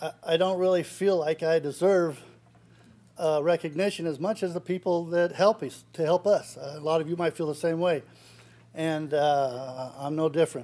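Fairly even intonation carries a man's dark, mellow tone. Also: moderate pace. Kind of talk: acceptance speech. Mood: grateful, lightly joking. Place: hall. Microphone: podium.

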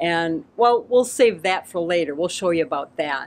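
A woman talks with lively intonation at a moderate pace, light background noise behind her. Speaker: RV travel vlogger. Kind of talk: casual vlog chat. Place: street.

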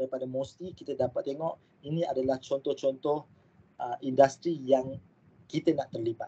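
A man's fairly high-pitched voice with a dark, mellow tone. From Malaysia. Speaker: aerospace engineering lecturer; university lecturer presenting. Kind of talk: online lecture. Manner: hesitant with fillers. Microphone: video call.

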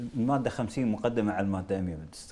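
With ordinary pitch variation, this man's voice sits at a fairly low pitch. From Kuwait. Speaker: member of parliament; guest. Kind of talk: political interview. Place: studio. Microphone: lapel.

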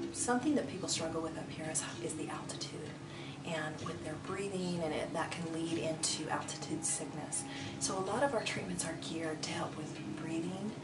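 A woman talks at a fairly quick pace against loud background noise. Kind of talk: interview answer. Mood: warm, friendly. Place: hall.

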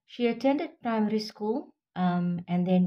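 Dark, mellow tone in a somewhat breathy female voice. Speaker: vlogger. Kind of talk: informative vlog talk. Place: home room. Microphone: phone near.

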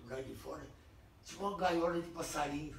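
This man talks in a high pitch with ordinary pitch variation. Room echo is audible, and light background noise sits underneath. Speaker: WWII veteran. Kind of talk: oral history interview. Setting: home visit. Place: home room. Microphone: camera far.

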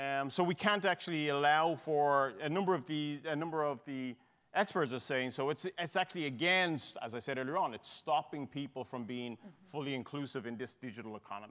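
Speaking at a fairly quick pace with hardly any pauses, a man with an Irish accent talks at a fairly high pitch with ordinary pitch variation. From Ireland. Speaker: tech executive; panelist. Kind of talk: panel discussion. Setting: stage with audience. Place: hall. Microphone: lapel.

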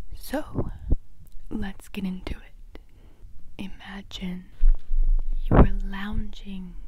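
A woman's voice, dry with no echo, over loud background noise. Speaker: parody ASMR creator. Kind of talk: casual vlog chat. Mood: joking, deadpan humor. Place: home room. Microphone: earbuds.

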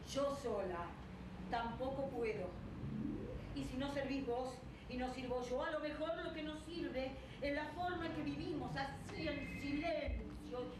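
Noticeable background noise and audible room echo surround the recording. A woman speaks at a fairly slow pace. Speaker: actress in a staged reading. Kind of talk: dramatic script reading. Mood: resigned, earnest. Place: stage.

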